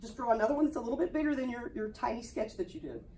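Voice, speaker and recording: Her pitch is high, with ordinary variation. The woman is heard with audible room echo and noticeable background noise. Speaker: art teacher. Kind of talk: classroom demonstration. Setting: classroom. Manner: fast; casual.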